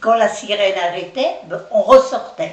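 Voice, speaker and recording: A woman's voice carries an audible room echo. Noticeable background noise runs underneath. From France, Nantes area. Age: 80s+. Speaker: retirement home resident. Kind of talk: testimony. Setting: interview by children.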